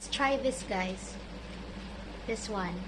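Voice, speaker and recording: There is audible room echo and noticeable background noise as a woman speaks with lively intonation. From Philippines, Visayas. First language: Cebuano (Bisaya). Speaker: vlogger. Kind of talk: mukbang vlog.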